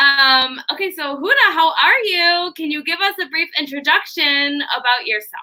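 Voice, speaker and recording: Speaking with an American accent, a woman uses a high pitch and lively intonation. Her pace is moderate, with hardly any pauses. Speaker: university staff host of live event. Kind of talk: live interview / presentation. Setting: live online video stream.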